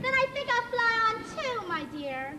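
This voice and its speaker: A female-sounding put-on character voice, squeaky and at an extremely high pitch, goes at a moderate pace. There is clear echo and clear background noise. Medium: stage play. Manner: sugary, affected.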